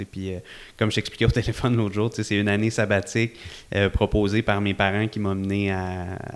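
The intonation is fairly even in a very clean recording with a silent background. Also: man. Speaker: event entrepreneur. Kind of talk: casual interview chat. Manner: calm.

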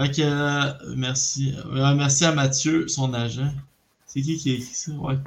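Somewhat breathy, a man talks at a very slow pace with monotone, flat intonation. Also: fairly high pitch for a man. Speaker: podcast host.

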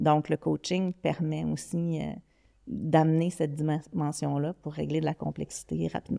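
In a very clean recording with a silent background, a woman talks with a Quebec accent. Her pace is fairly slow. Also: dry, close sound with no echo. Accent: Québécois French. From Quebec City, Quebec. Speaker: digital strategy executive. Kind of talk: podcast interview.

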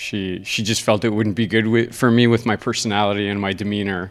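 A man speaks with an unremarkable speaking voice, fairly low in pitch. His pace is moderate and his intonation fairly even. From Ontario, Canada. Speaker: karate instructor and competitor. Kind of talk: casual interview.

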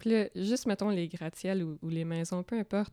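A woman talks at a moderate pace with ordinary pitch variation and a dark, mellow tone. The recording is very clean and dry, close up with a silent background and no echo. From rural Quebec, near Drummondville. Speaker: comic book artist. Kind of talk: casual interview chat.

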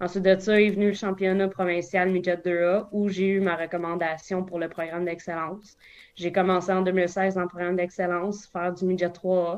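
Speaking at a moderate pace, a woman with a Quebec accent keeps a medium pitch and a monotone, flat intonation. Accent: Québécois French. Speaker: baseball umpire. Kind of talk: casual interview.

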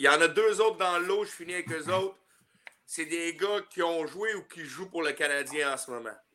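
A high-pitched man with a bright, sharp tone, a moderate pace and big swings in loudness. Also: ordinary pitch variation. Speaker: hockey player. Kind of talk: casual chat.

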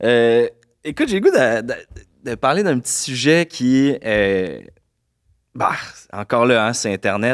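Lively intonation marks a very slow delivery in a Quebec accent, with long, frequent pauses and a dry, close sound with no echo on a very clean recording with a silent background. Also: man, medium pitch for a man. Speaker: podcast host. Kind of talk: casual interview. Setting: studio.

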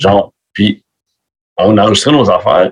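Intonation lively and pace moderate, a man speaks at medium pitch. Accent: Quebec. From Quebec. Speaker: metal musician. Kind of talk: casual chat. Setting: video call.

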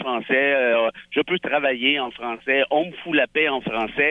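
A man speaks at a moderate pace. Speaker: lawyer, columnist and essayist. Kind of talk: political panel discussion. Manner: loud.

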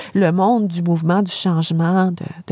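A woman speaks with a fairly low pitch and fairly even intonation. Noticeable background noise is present. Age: 50s. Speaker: philosophy professor. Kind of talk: lecture-style explanation in interview. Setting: camper van used as studio.

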